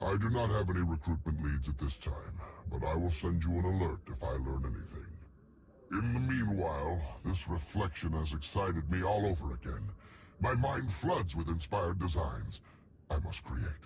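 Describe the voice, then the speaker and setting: Over clear background noise, a man uses a put-on character voice pitched very deep and low. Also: moderate pace. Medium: video game. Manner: formal, enthusiastic.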